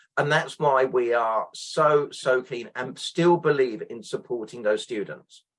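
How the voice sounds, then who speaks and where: A man with a British accent talks at a fairly slow pace, with hardly any pauses. His pitch sits in the medium range and varies an ordinary amount. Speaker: exam representative and teacher. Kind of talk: interview.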